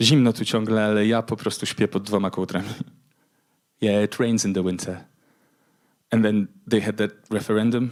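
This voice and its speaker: This man has a Polish accent and a fairly low pitch, speaking at a fairly quick pace with long, frequent pauses. His intonation is monotone and flat. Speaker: spoken word poet. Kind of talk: poetry reading.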